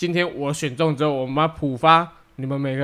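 A man with a fairly high pitch uses a normal speaking voice, keeping a moderate pace and fairly even intonation. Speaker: podcast co-host. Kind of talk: casual chat.

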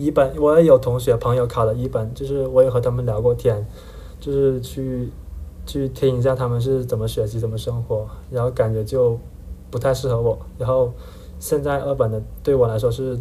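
A man with a Hakka accent at a moderate pace, with audible room echo. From Heyuan, Guangdong, China. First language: Hakka (speaking Chinese). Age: 20s. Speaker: university student. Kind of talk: casual interview chat.

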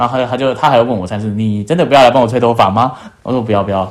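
A man talks at a very fast pace with fairly even intonation. His pitch sits in the medium range. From Taiwan. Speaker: working holiday traveller. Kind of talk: casual chat.

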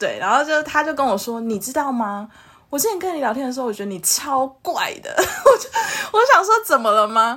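Raised and projected, a woman's high-pitched voice has a bright, sharp tone, very wide pitch swings, big swings in loudness and a fairly quick pace. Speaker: podcast co-host. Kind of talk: casual chat.

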